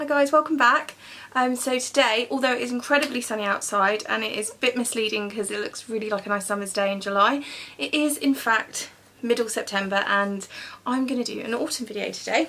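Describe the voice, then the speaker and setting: Fairly high-pitched woman with a British accent, fairly quick pace and ordinary pitch variation. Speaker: beauty vlogger. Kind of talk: makeup tutorial. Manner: fast; chatty.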